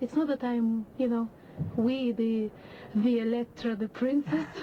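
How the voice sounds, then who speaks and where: A woman speaks at a moderate pace. Her voice is breathy. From Russia. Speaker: opera singer. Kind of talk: interview.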